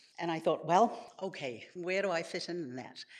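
Speaking with a New Zealand accent, a woman has a fairly low pitch. Her intonation is lively and her pace moderate. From New Zealand, Samoan family. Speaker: storyteller. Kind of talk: live storytelling. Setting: stage with audience.

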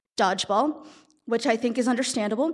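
Her pitch is high, and she speaks with an American accent. The woman is recorded very cleanly against a silent background. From California. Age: 20s. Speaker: storyteller. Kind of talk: live storytelling. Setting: stage with audience.

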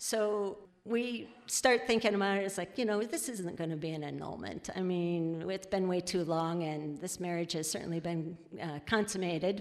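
A woman with an American accent, medium pitch, ordinary pitch variation and moderate pace, an unremarkable speaking voice. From US Midwest (Iowa). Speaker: former park ranger. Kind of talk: live storytelling. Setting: stage with audience.

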